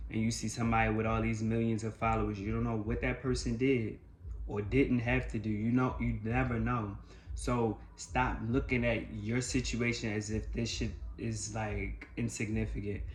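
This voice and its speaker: A man speaks at a moderate pace. Audible room echo fills the recording. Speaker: life coach. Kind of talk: motivational monologue. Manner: loud; animated.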